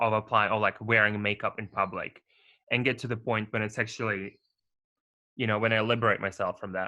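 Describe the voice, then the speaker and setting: Against a quiet background, a man speaks at a medium pitch. His intonation is monotone and flat, and his tone is bright and sharp. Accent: non-native. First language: not English. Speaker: podcast co-host. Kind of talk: casual chat.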